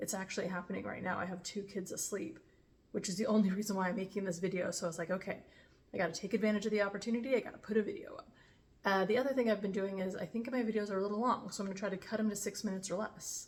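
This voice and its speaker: A woman's somewhat breathy, medium-pitched voice at a very fast pace, with fairly even intonation. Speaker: vlogger. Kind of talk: casual vlog talk. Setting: home kitchen. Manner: unscripted, off the cuff.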